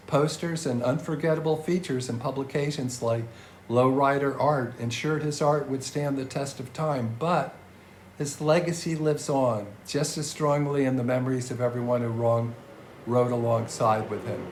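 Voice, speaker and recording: A man speaks at a moderate pace with a fairly high pitch and fairly even intonation. His voice is somewhat breathy, and audible room echo can be heard. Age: 70s. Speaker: podcast host. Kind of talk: scripted narration.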